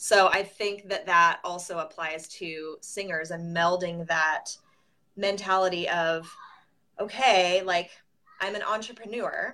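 Using fairly even intonation, a woman with an American accent speaks at a medium pitch in a bright, sharp tone. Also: fairly slow pace. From Southern California. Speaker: music business consultant. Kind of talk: interview.

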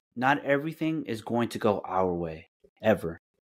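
A man with an American accent and a fairly low pitch talks at a very slow pace. The recording is very clean, with a silent background. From California, raised by Mexican parents. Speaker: podcast host. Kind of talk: casual chat, personal testimony. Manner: halting, many fillers.

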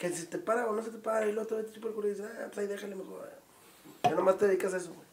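A man's high-pitched voice at a very fast pace, with noticeable background noise. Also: long, frequent pauses, big swings in loudness. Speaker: podcast host and comedian. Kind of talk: casual chat.

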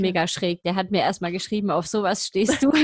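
The recording is dry and close with no echo as a woman talks at a fairly quick pace in a somewhat breathy voice with ordinary pitch variation. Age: 30s. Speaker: podcast co-host. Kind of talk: casual chat.

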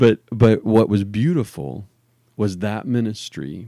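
A man speaks at a fairly low pitch with a dark, mellow tone and fairly even intonation, on a very clean recording with a silent background. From New Orleans. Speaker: church ministry podcast host. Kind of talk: casual chat.

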